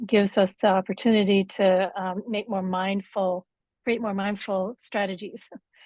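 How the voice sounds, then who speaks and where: The voice is somewhat breathy, fairly slow and monotone and flat, with a dry, close sound with no echo and a quiet background. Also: woman. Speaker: workshop facilitator. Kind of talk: workshop teaching.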